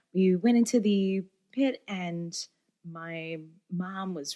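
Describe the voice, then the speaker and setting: Recorded very cleanly with a silent background and a dry, close sound with no echo, a woman speaks with an American accent in a dark, mellow tone at medium pitch. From upstate New York. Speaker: singer-songwriter and bassist. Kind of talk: interview storytelling. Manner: animated.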